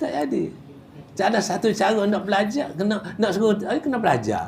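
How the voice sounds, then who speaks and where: Amid noticeable background noise and audible room echo, a man with a high pitch talks at a fairly slow pace. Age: 70s. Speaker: Quran recitation teacher. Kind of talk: religious class lecture. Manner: casual, halting with repetitions.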